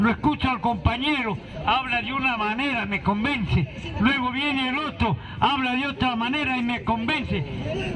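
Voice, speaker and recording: A man speaks in a raised, projected voice at an extremely high pitch, with audible room echo and noticeable background noise. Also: ordinary pitch variation, moderate pace. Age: 60s. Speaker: political activist. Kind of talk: public speech.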